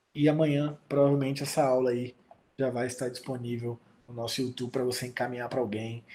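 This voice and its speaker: A man with a dark, mellow tone speaks at a medium pitch and a fairly quick pace. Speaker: pastor. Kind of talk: online Bible class. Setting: video call. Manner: fast; animated.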